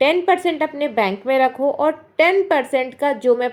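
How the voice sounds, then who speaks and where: Loud and with ordinary pitch variation, a woman speaks. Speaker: housewife vlogger giving money-saving advice. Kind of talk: casual advice vlog talk to camera. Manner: loud, raised voice.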